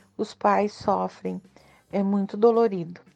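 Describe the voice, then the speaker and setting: A woman speaks at a very slow pace. Her pitch sits at a medium level. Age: 50s. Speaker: mother of a special-needs son. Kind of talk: recorded testimony.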